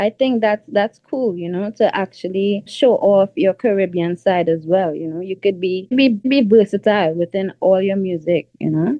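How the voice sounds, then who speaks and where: In a Trinidadian accent, a woman speaks at a moderate pace and medium pitch with ordinary pitch variation. She hardly pauses at all. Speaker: R&B singer. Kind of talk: interview. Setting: radio show interview. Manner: casual, filler-heavy.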